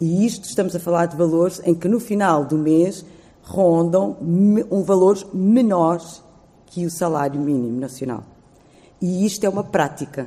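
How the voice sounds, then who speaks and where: A normal speaking voice moves at a fairly slow pace. Its pitch varies in an ordinary way. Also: woman, fairly low pitch for a woman. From Lisbon area, Portugal, Cape Verdean family. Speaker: immigrant rights activist. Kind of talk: panel talk with personal story.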